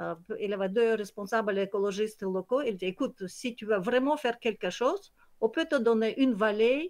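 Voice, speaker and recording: A woman speaks at a moderate pace with a Kyrgyz accent. Her pitch is fairly high, and the background is quiet. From Kyrgyzstan. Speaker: nature conservation project founder. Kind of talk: online presentation. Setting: video call. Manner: halting, many hesitations.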